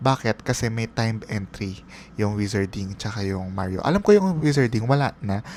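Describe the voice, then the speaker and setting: A man talks at a moderate pace in an unremarkable speaking voice. His pitch sits fairly low. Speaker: travel vlogger. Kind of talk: voiceover narration. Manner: casual, conversational.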